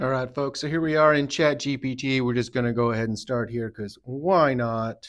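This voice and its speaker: At a moderate pace, a man with an unremarkable speaking voice talks at medium pitch. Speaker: tattoo artist. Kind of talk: tutorial. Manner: casual.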